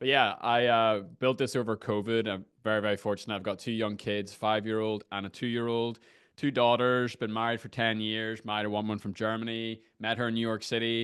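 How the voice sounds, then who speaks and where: A man speaks in a monotone, flat way with an Irish accent. His pitch is medium and his pace fairly quick. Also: hardly any pauses. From Ireland. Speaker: screen-time coach. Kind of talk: interview conversation. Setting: video call from a garden shed.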